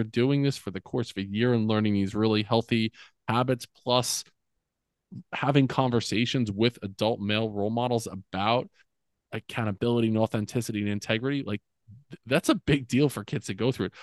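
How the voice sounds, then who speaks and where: With an American accent, the speaker talks at a fairly quick pace with ordinary pitch variation in an unremarkable speaking voice. The sound is dry and close with no echo, over a quiet background. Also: man, medium pitch for a man. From US, central New Jersey. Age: 40s. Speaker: former school principal, men's coach. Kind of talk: casual interview. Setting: podcast interview.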